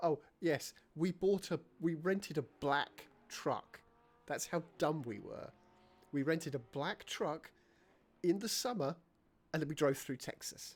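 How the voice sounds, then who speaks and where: A man with a British accent, fairly high-pitched, with ordinary pitch variation, a fairly slow pace and long, frequent pauses. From Britain. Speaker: video game streamer. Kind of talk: casual chat. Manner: animated.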